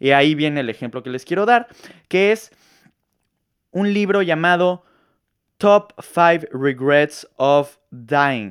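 The recording is very clean, with a silent background. The speech unfolds at a very slow pace. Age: 20s. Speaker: podcaster, marketing student. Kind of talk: solo monologue podcast. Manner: animated.

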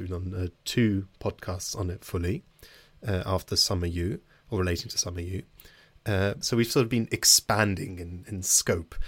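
In a very clean recording with a silent background, a man with a British accent talks at a moderate pace in a fairly low, somewhat breathy voice with ordinary pitch variation. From Britain. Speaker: podcast host. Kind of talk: interview; casual chat.

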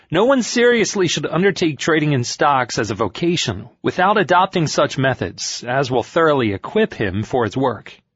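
The speaker barely pauses at all, and the voice shows vocal fry along with very wide pitch swings. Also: man, fairly high pitch for a man, moderate pace. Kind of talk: literary audiobook reading of a 1920s financial interview, formal narration. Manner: measured, steady, formal and even-paced narration; clear, authoritative, lightly expressive.

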